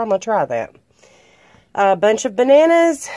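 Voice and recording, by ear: A woman talks at a fairly slow pace with lively intonation. Her tone is dark and mellow.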